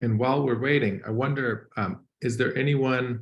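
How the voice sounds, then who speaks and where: In a room with audible echo, a somewhat breathy man speaks at a moderate pace with fairly even intonation. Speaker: guest lecturer. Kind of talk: online lecture, pre-talk chat.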